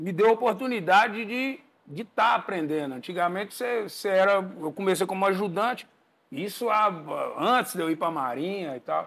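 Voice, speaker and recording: A man at a moderate pace, high-pitched for a man, with lively intonation. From Brazil. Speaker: house painter and percussionist; podcast guest. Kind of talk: casual chat. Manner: halting. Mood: relaxed storytelling. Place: studio. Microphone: lapel.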